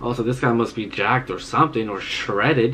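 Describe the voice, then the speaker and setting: A man talks at a moderate pace. Light background noise sits behind him. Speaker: anime reaction youtuber. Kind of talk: casual vlog chat, reading aloud. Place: home room.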